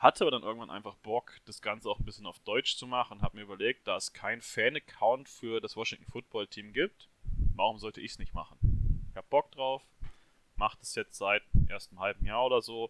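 A man at a fairly quick pace, in dry, close sound with no echo. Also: big swings in loudness. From Hesse, near Marburg. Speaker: football fan, social media account runner. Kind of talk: casual chat.

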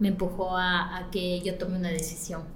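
Fairly slow speech amid noticeable background noise and audible room echo. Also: woman. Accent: highland Ecuadorian. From Ecuador, Latacunga (highlands). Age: 40s. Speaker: salon and spa owner. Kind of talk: interview.

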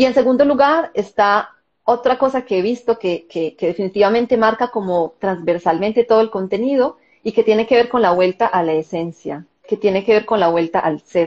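With lively intonation, an ordinary speaking voice proceeds at a moderate pace. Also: woman, fairly high pitch for a woman. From Colombia. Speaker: wellness summit organizer. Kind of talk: live-stream interview.

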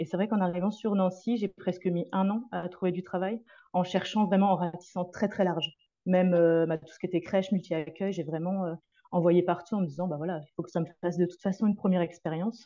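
A woman's fairly quick, medium-pitched voice, dark and mellow in tone with fairly even intonation, over a quiet background. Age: 30s. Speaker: early childhood educator. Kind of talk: interview.

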